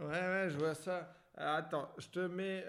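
With audible room echo, a man speaks at a very slow pace in a high pitch. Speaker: comedian podcast host. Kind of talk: casual chat.

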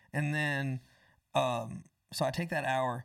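A man with an American accent speaks at a medium pitch, in a very clean recording with a silent background. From Florida, US South (Tampa, Panama City). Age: 20s. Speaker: songwriter and musician. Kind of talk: casual interview chat.

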